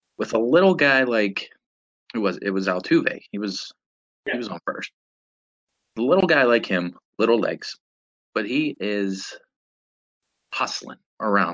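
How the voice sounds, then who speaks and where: A man with a Pittsburgh accent speaks at a fairly slow pace in a medium pitch, with lively intonation, big swings in loudness, and long, frequent pauses. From Pittsburgh, western Pennsylvania. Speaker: podcast co-host. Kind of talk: casual chat.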